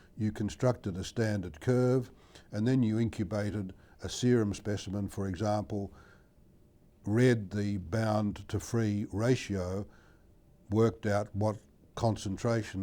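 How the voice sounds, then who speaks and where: With an Australian accent, a man speaks in a dark, mellow tone at a fairly low pitch, keeping a moderate pace and fairly even intonation. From Australia, Melbourne. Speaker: medical researcher, endocrinologist. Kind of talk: interview answer.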